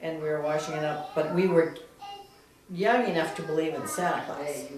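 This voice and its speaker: Through audible room echo and noticeable background noise, a woman with a very deep, low pitch talks at a moderate pace with ordinary pitch variation. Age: 60s. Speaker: family member interviewee. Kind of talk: oral history interview.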